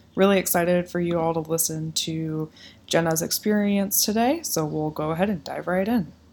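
Heard on a very clean recording with a silent background, a woman with an American accent speaks in a normal speaking voice, fairly low in pitch, at a moderate pace with ordinary pitch variation. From Iowa. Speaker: podcast host. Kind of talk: interview; scripted introduction.

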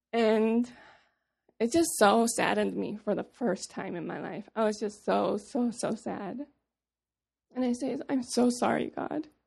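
At a fairly slow pace, a woman speaks with vocal fry. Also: ordinary pitch variation. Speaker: missionary speaker. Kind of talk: personal testimony. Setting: stage with audience.

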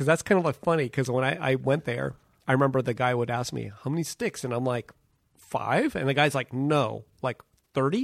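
A man with an ordinary speaking voice talks at a fairly quick pace and medium pitch, with ordinary pitch variation, in a dry, close recording with no echo, very clean and with a silent background. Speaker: podcast co-host. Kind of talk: casual chat.

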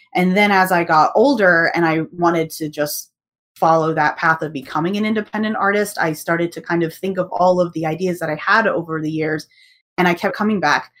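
A fairly quick delivery in an American accent, with ordinary pitch variation. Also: woman, fairly low pitch for a woman. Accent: American, with UK roots. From UK. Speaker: artist and world builder. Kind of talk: casual interview.

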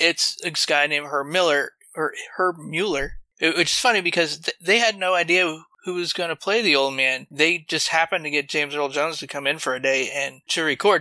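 A man's ordinary speaking voice, fairly high in pitch, with ordinary pitch variation and a fairly quick pace. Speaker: podcast guest. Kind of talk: casual chat.

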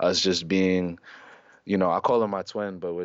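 Speaking at a fairly quick pace, a man delivers his words in a flat monotone with a very deep, low pitch. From New York City, Harlem. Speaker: recording artist and clothing designer. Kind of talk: casual chat.

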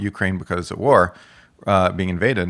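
On a very clean recording with a silent background, a man with a fairly low pitch speaks at a fairly quick pace with an American accent. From Texas. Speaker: economist and columnist. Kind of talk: casual interview.

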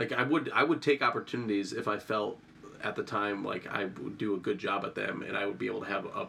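A fairly quick-paced man amid noticeable background noise. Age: 30s. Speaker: emergency medicine resident physician and combat veteran. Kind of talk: casual interview conversation. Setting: in a home.

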